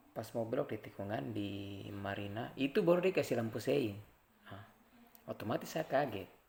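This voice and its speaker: Somewhat breathy, the speech proceeds at a moderate pace. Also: man, fairly low pitch for a man. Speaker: traffic safety community member. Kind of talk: informal educational vlog. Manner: conversational, with hesitations.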